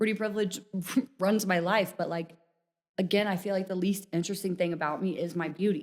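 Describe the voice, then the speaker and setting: Speaking in a slight Missouri accent, a woman at a medium pitch delivers her words fairly quickly in a flat monotone. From Missouri, rural farm town. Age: 20s. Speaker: dating show participant. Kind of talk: casual chat.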